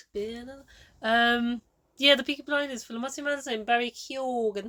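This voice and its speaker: The tone is bright and sharp, moving at a moderate pace with fairly even intonation and big swings in loudness. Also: woman, high pitch for a woman. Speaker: podcast co-host. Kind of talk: casual chat. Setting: camper van.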